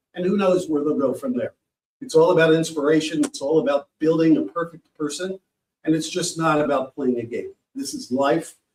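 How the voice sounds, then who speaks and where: A man with an American accent talks at a fairly quick pace. His is an unremarkable speaking voice, fairly high in pitch. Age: 60s. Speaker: sports program founder. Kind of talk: panel presentation.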